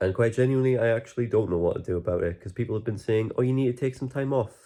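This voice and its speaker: In a Geordie accent, a man speaks with a dark, mellow tone and ordinary pitch variation against a quiet background. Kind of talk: casual talk to camera.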